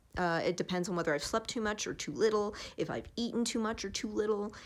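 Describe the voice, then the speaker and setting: The recording is very clean over a silent background. A woman talks fairly quickly. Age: 20s. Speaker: vlogger. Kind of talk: casual vlog monologue. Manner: fast.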